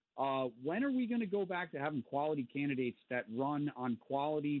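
A man with an American accent has an ordinary speaking voice, pitched fairly high. He talks at a fairly quick pace with lively intonation. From Connecticut. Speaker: caller. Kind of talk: call-in talk radio. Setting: phone call.

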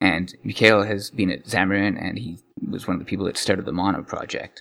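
Music plays in the background as a man speaks at a very deep, low pitch. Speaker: programmer and podcaster. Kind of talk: casual interview chat. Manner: halting, restarts sentences; not slick, pauses a lot.

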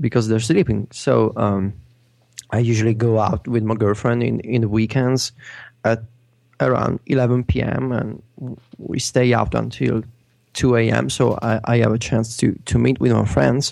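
Speaking in an Italian accent at a fairly slow pace, a man holds a very even loudness, with medium pitch and ordinary pitch variation. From Italy. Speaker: tech blog editor. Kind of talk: casual chat. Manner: hesitant, with many fillers and repetitions.

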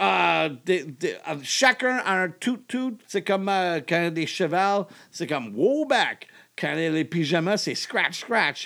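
Speaking at a very slow pace, a man has a high pitch, a bright, sharp tone, and lively intonation. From Germany. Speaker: comedian. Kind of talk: casual chat. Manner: halting French with English mixed in.

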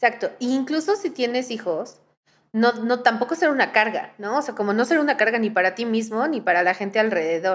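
A woman with an unremarkable speaking voice talks at a fairly quick pace in a fairly high pitch, her intonation lively. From Mexico. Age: 20s. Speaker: podcast host. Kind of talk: casual chat.

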